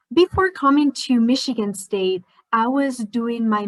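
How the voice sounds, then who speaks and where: A somewhat breathy woman's voice in a Spanish accent, with ordinary pitch variation. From Spain. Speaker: scientist. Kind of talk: educational presentation.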